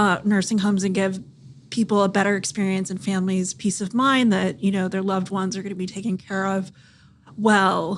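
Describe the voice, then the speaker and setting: A woman speaks in a monotone, flat intonation with a Californian accent. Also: medium pitch for a woman, fairly quick pace. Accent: General American, Californian. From US West, Central California. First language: Thai. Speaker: startup founder and physician. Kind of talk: podcast interview.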